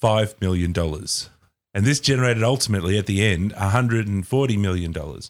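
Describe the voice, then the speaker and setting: Very fast speech from a man with an Australian accent and a fairly low pitch. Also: very clean recording, silent background. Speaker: podcast co-host. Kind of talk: casual chat.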